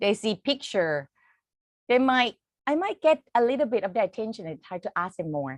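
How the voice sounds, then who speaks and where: Against a quiet background, a speaker with a Thai accent moves through very wide pitch swings. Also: woman, dry, close sound with no echo. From Thailand. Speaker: English teacher. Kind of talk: conference presentation. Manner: halting.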